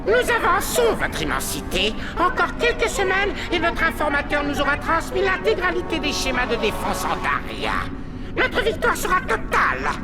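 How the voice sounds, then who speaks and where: A cartoonish character voice sits at an extremely high pitch and a moderate pace. Loud background noise runs underneath. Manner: servile.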